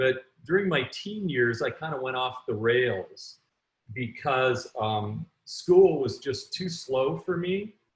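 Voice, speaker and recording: A fairly high-pitched, somewhat breathy man with a Canadian accent speaks very slowly, his pitch swinging very widely. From Canada. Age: 60s. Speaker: entrepreneur and author. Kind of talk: interview.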